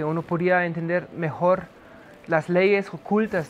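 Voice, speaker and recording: Noticeable background noise sits behind a man's voice. He talks at a high pitch and a moderate pace. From Germany. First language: German (speaking Spanish). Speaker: history professor. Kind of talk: lecture. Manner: hesitant, many fillers.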